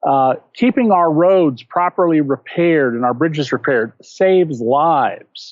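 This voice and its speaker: A man speaks at a fairly slow pace with hardly any pauses, in a normal speaking voice. His pitch is fairly high and his intonation lively. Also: very even loudness. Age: 60s. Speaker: investigative journalist and author. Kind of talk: interview.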